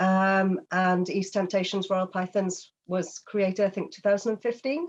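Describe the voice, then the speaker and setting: A woman in a British accent speaks at a fairly slow pace with medium pitch and fairly even intonation against a quiet background. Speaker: reptile breeder. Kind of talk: casual chat.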